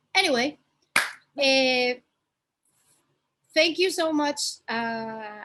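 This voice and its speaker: Over a quiet background, a woman with a strong Spanish accent speaks in a high pitch with ordinary pitch variation. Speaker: fashion content creator. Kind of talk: casual chat.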